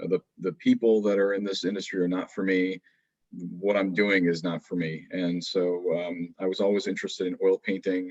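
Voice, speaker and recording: Recorded dry and close with no echo, a man speaks at a moderate pace in a very deep, low pitch with monotone, flat intonation. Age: young. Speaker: airport industry professional, panelist. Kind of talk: panel discussion. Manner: halting, many repetitions.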